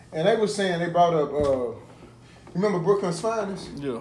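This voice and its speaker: Over noticeable background noise and audible room echo, a man talks at a fairly quick pace in a high voice. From US South. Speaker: podcast co-host. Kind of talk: casual chat.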